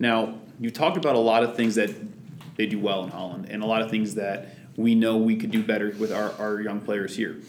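A man with an unremarkable speaking voice talks at a fairly quick pace. His pitch sits at a medium level with fairly even intonation. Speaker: podcast host. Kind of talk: interview.

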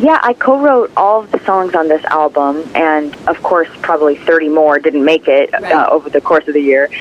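A woman speaks at a moderate pace with a very deep, low pitch and hardly any pauses. Noticeable background noise runs under her voice. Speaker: singer. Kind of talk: interview.

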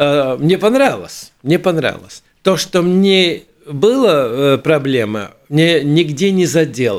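A man speaks at a very slow pace with a fairly high pitch and lively intonation. His loudness stays very even. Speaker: theatre union head, theatre director. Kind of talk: interview. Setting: radio studio. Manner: halting.

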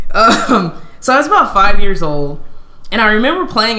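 Against noticeable background noise and audible room echo, a woman with an American accent and a medium pitch speaks with very wide pitch swings. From Southern California. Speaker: tech industry professional, former pro basketball player. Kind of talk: interview, personal storytelling. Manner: casual, hesitant with fillers.

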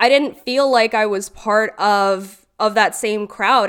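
Here a woman speaks with an Ontario accent. Her pace is fairly slow. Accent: Canadian (Ontario). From Brampton, Ontario, Canada, Guyanese family. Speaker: podcast co-host, events and media manager. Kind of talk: casual group discussion.

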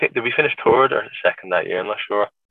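This is a man's voice. He speaks with an Irish accent. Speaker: former footballer. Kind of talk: interview. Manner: relaxed, hesitant.

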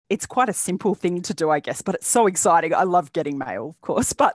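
A woman speaks with an Australian accent at a fairly quick pace, her medium pitch carried by lively intonation. The sound is dry and close, with no echo. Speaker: bag pattern designer and small business owner. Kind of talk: interview. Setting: remote call from Australia.

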